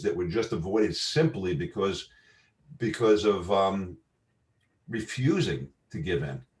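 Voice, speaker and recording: A man with a New York accent talks at a fairly slow pace with vocal fry. Long, frequent pauses break up his speech. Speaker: marketing entrepreneur. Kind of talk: casual chat. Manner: halting.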